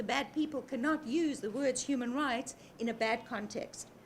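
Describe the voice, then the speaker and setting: A woman's lively intonation and moderate pace carry over noticeable background noise. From South Africa. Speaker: human rights campaigner. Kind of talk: interview.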